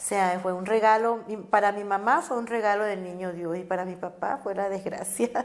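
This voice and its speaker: A woman at medium pitch, with fairly even intonation and a moderate pace. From Caribbean Colombia, Cartagena. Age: 50s. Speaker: social activist. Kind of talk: life story interview. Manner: halting, with many fillers and repetitions.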